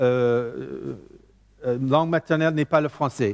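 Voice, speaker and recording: This man has an English accent and a fairly high pitch, speaking at a fairly slow pace in a dry, close sound with no echo. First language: English (speaking French). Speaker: preacher. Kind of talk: sermon. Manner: halting.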